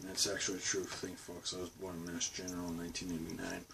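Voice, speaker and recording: Noticeable background noise is present throughout. Over it, a man speaks. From Boston. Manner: natural, unforced.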